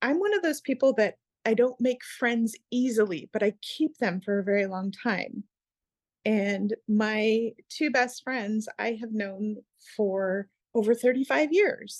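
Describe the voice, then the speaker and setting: In an American accent, a woman with an unremarkable speaking voice talks at a fairly slow pace in a fairly high pitch with ordinary pitch variation, the sound dry and close with no echo. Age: 50s. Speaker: equine therapy instructor and former emergency dispatcher. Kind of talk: interview.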